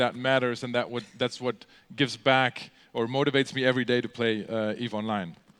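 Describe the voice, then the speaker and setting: At a moderate pace, a man talks with a German accent and a medium pitch. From Germany. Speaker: gamer and convention speaker. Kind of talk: convention talk. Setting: stage with audience. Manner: halting, many fillers.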